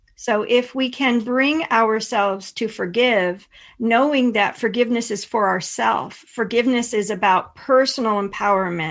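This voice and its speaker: In a plain, everyday voice, a woman with an American accent speaks at a moderate pace and a fairly high pitch, with ordinary pitch variation against a quiet background. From Pennsylvania. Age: 50s. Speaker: intuitive and energy healer. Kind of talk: interview conversation.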